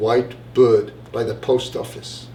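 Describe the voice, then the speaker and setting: A man is heard over noticeable background noise. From Wales. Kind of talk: live story reading.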